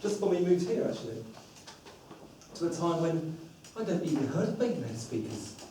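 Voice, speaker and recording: With noticeable background noise and audible room echo, a high-pitched man with a southern English accent speaks at a moderate pace. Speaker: public speaking club member. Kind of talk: prepared speech. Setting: stage with audience.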